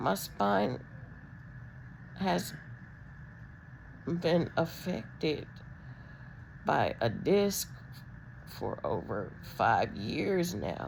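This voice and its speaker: A woman speaks at a very slow pace with long, frequent pauses. Audible room echo surrounds her voice. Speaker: vlogger with spinal disc disease. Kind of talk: personal video diary. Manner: halting, many ums.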